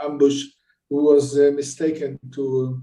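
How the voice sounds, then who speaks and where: A man speaks at a fairly high pitch in a dark, mellow tone. His intonation is monotone and flat. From Israel, Jerusalem. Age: 70s. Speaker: bereaved father and peace activist. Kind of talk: testimony.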